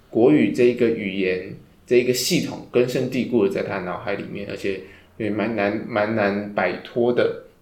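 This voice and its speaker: Audible room echo, with ordinary pitch variation at a moderate pace. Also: man, medium pitch for a man. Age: 20s. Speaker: podcast host. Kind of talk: casual book discussion.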